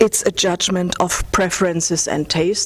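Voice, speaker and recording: Against noticeable background noise, a woman with a German accent speaks at a medium pitch and a moderate pace in a monotone, flat way. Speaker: lecturer on aesthetics, former curator and artist. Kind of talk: academic lecture. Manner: halting, with fillers.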